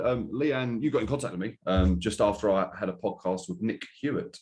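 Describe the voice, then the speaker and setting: This speaker, with an Estuary English accent, talks at a fairly quick pace. The pitch swings very widely. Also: man. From Essex, England. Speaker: podcast host. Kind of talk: casual chat.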